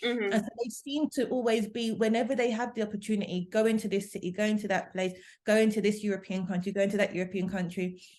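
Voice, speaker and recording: Intonation stays fairly level while the words come out very rapidly. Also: woman, fairly high pitch for a woman. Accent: London. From London, England. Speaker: language assistant. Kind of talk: interview answer.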